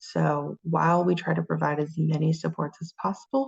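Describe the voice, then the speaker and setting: A woman's fairly low, somewhat breathy voice in a dry, close sound with no echo. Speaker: college course instructor. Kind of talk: lecture.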